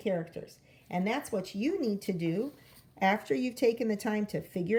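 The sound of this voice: Just an unforced reading voice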